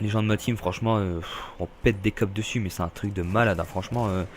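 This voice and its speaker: Fairly even in intonation, the speech runs at a fairly quick pace. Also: man. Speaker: gaming youtuber. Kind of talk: gameplay commentary. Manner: halting, many fillers; casual, rambling hesitations.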